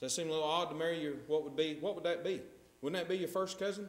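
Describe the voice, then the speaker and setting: Talking at a very fast pace in a North Carolina accent, a man with a high pitch is heard with audible room echo. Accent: Southern US (North Carolina). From US South. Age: 30s. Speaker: preacher. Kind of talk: sermon. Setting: church. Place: church.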